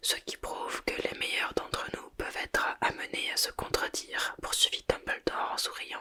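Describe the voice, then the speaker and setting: A woman is whispering at a fairly slow pace with noticeable background noise behind her. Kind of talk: whispered ASMR audiobook reading for sleep. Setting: ASMR microphone recording. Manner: whispered, soft.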